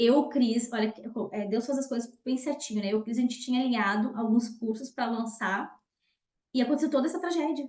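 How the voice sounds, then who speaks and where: With a high voice and ordinary pitch variation, a woman talks at a fairly quick clip. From southern Brazil, Rio Grande do Sul. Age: 30s. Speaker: nutritionist and lecturer. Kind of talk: online talk / webinar presentation.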